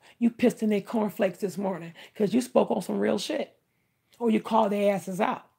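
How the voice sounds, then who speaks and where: Speaking at a very fast pace, a woman uses a medium pitch with ordinary pitch variation and an animated, somewhat breathy tone. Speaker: livestreamer doing tarot readings. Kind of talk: live stream chat with tarot reading.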